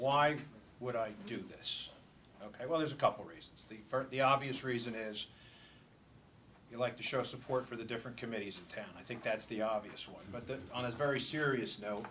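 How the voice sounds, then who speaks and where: Fairly quick and fairly even in intonation, a man speaks in an ordinary speaking voice. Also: medium pitch for a man. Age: 60s. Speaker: borough manager. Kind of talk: public talk at community event.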